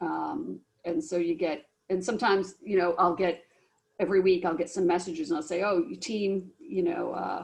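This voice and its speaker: A woman speaks at a moderate pace with a medium pitch, ordinary pitch variation and vocal fry. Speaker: business professor. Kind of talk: academic information session.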